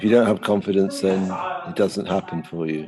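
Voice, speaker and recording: A man talks with a very deep, low pitch. Noticeable background noise runs underneath. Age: 70s. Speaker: art lecturer. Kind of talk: interview conversation. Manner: halting, many fillers.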